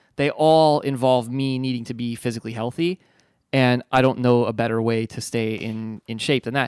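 In a very clean recording with a silent background and a dry, close sound with no echo, a man with a plain, everyday voice speaks at a moderate pace and medium pitch with fairly even intonation. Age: 30s. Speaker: recovering addict. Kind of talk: casual chat.

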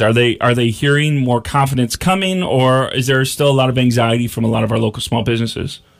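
Keeping to a medium pitch with ordinary pitch variation, a man talks at a very fast pace. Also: hardly any pauses, very even loudness. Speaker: radio talk show host. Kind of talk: radio interview. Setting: radio studio. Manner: enthusiastic.

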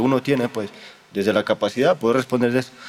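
The speaker is a man with fairly even intonation. He talks very fast. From Honduras. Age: 20s. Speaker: theology student in a religious order. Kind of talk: interview. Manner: halting, with frequent repetitions.

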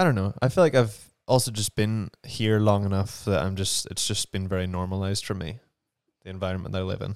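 A man with a Northern Irish accent speaks at a fairly quick pace and fairly low pitch, with fairly even intonation. The recording is very clean, with a silent background. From Northern Ireland. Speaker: actor. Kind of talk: casual conversation. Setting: home studio.

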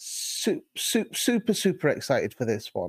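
A man in a British accent speaks at a fairly slow pace, recorded very cleanly against a silent background with a dry, close sound and no echo. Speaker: podcast co-host. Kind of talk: casual sports chat. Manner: halting, many fillers and repetitions.

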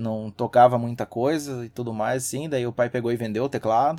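A man with an unremarkable speaking voice talks at a medium pitch with fairly even intonation. The recording is very clean, with a silent background. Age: 30s. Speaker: systems analyst and hobby musician. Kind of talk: casual chat.

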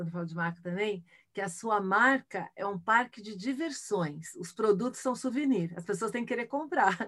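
Her pitch is fairly high and her intonation lively. This woman keeps a moderate pace, with big swings in loudness. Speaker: futurist and keynote speaker. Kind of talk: casual interview. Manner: animated.

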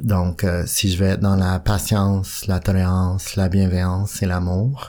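A man speaks at a fairly slow pace. His voice is very deep and low, with a dark, mellow tone. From Western Canada. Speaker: AA member sharing recovery. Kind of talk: testimony. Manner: halting.

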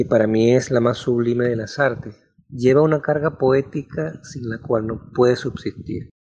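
Speaking at a fairly slow pace, a man uses a medium pitch, fairly even intonation and a dark, mellow, somewhat breathy tone. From Venezuela, Maracaibo. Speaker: novelist. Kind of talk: personal storytelling.

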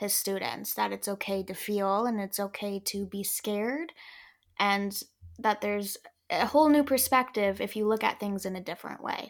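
A woman with a normal speaking voice, medium in pitch with ordinary pitch variation, at a moderate pace on a very clean recording with a silent background. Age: 20s. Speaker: actress and nonprofit founder. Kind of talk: casual chat.

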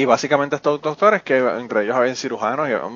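A man with a medium pitch and an unremarkable speaking voice talks at a fairly quick pace. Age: 40s. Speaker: podcast host. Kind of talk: casual chat; scripted outro.

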